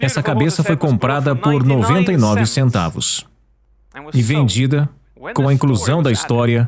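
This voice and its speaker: Somewhat breathy male voice at medium pitch and a moderate pace, ordinary pitch variation, very even loudness, and long, frequent pauses. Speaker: voice-over artist. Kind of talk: dubbed talk narration.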